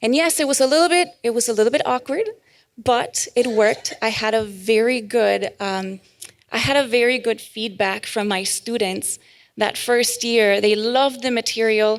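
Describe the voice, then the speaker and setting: With ordinary pitch variation and a moderate pace, a woman talks in a fairly high pitch. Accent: Spanish. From Mexico. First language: Spanish. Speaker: Bible study group leader. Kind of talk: testimony. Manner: casual, with frequent fillers.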